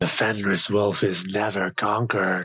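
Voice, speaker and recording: A man speaks in a put-on character voice with fairly low pitch. The delivery is moderately paced, with audible hissing. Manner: hissing, menacing.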